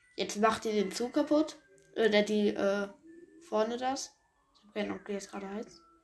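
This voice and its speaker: Against music in the background, a woman speaks at a moderate pace and medium pitch. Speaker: gaming podcaster. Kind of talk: let's play gameplay commentary. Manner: casual, many filler sounds.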